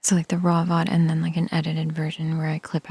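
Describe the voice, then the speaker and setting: The speaker is soft-spoken. Words come at a very fast pace. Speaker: sleepytime reading streamer. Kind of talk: soft-spoken ASMR streamer chatting with viewers.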